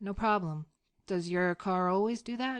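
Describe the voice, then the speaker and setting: A woman's put-on character voice at medium pitch, moderate pace and ordinary pitch variation, over a quiet background. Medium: read story. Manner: amused, relaxed.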